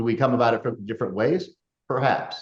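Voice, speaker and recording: A man's medium-pitched, somewhat breathy voice at a fairly quick pace, with lively intonation. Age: 60s. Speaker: podcast host. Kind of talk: casual chat.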